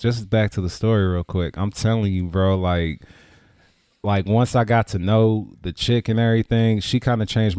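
This man has an American accent and keeps his delivery at a moderate pace. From Richmond, California (Bay Area). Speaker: community figure and event promoter. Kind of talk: casual chat. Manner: animated.

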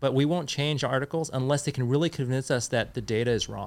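In a Californian accent, a man speaks at a very fast pace and a fairly high pitch with fairly even intonation. The recording is very clean with a silent background. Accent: Californian American. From Northern California, South Bay. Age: 40s. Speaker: fishing tackle review site founder. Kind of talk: casual interview.

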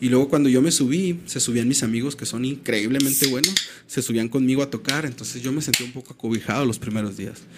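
Noticeable background noise is present throughout. The words come at a very fast pace, with ordinary pitch variation. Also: man, medium pitch for a man. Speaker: musician. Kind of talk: casual chat. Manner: animated.

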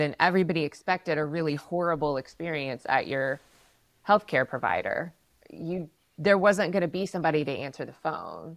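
An ordinary speaking voice at a moderate pace, with lively intonation, comes through in a dry, close sound with no echo. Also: woman. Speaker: healthcare communications consultant. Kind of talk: casual professional discussion.

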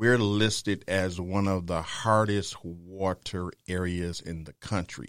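With an American accent, a man speaks at a very deep, low pitch and a very slow pace, with fairly even intonation and hardly any pauses, on a very clean recording with a silent background. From Detroit, US Midwest. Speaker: small business owner. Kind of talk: interview. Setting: studio. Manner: halting.

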